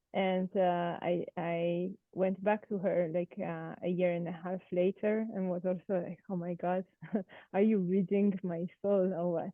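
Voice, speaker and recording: The speaker has a French accent and a fairly slow pace. The intonation stays monotone and flat. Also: woman, medium pitch for a woman. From France. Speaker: participant. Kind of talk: group discussion introduction. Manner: hesitant, many fillers.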